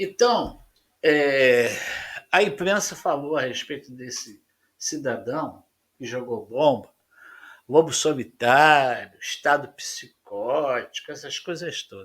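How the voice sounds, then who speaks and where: A man with a fairly high pitch and lively intonation, speaking at a very slow pace with long, frequent pauses and big swings in loudness. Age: 70s. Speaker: panel debater, correspondent. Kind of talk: panel debate.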